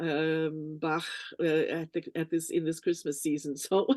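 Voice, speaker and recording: Against a quiet background, a woman's fairly low voice has a dark, mellow tone and a dry, close sound with no echo. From Canada. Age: 70s. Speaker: singer and vocal coach. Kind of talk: interview. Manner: halting, many fillers.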